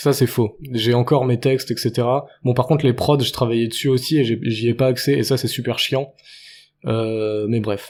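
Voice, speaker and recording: On a very clean recording with a silent background, a man speaks in a monotone, flat intonation at medium pitch and a moderate pace. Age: 20s. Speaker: podcaster and rapper. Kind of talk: solo monologue podcast. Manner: halting.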